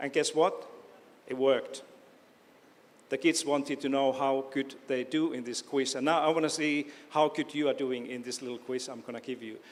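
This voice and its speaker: Speaking at a moderate pace with long, frequent pauses, a man with a fairly high pitch keeps a monotone, flat intonation while his loudness swings widely. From Finland, Oulu. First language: Finnish. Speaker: education professor. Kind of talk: lecture. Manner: halting.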